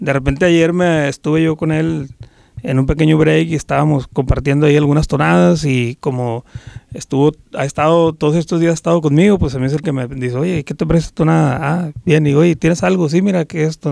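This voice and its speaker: A man with a fairly high pitch talks at a very fast pace with ordinary pitch variation, the sound dry with no echo. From Sinaloa, Mexico. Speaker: norteño band musician; interviewee. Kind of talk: interview. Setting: recording studio. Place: studio. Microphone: handheld.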